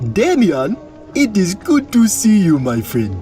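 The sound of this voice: Using a put-on character voice, a man with a high pitch and a dark, mellow tone speaks at a slow pace with very wide pitch swings, over faint music in the background.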